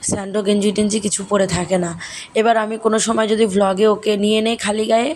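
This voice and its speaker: Over noticeable background noise, a soft-spoken woman talks at a medium pitch with fairly even intonation. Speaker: family vlogger, mother. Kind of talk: vlog narration. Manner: conversational, direct address.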